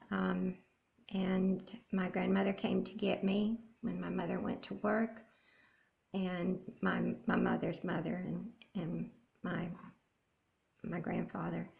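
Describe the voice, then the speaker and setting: The speaker has an American accent and talks at a very slow pace. Long pauses come often. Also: woman. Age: 70s. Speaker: cross-stitch vlogger. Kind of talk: casual chat. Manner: halting.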